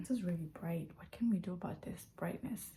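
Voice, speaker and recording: Her voice is fairly low, somewhat breathy, and dark and mellow in tone as this woman speaks. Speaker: vlogger. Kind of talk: casual vlog. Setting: at home.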